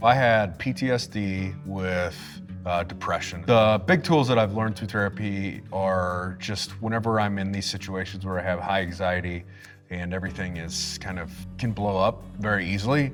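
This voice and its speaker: Music plays in the background as a man talks at a moderate pace. His pitch is very deep and low, with ordinary variation. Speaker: army veteran. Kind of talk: interview answer. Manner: casual, reflective.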